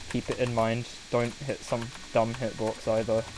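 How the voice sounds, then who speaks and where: Someone with a British accent speaks at a very slow pace against noticeable background noise. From Britain. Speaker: video game streamer. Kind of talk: live gameplay commentary. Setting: live stream. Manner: animated.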